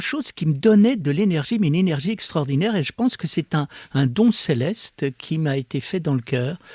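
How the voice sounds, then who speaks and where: Pitch swings very widely at a moderate pace, on a very clean recording with a silent background and a dry, close sound with no echo. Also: man. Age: 70s. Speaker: philosopher. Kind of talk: interview. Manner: hesitant, many fillers.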